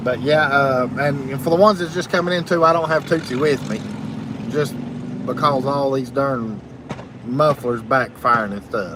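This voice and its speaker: Through noticeable background noise, a man with a fairly high pitch talks at a moderate pace with ordinary pitch variation. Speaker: live streamer. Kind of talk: live stream chat reading comments. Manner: loud.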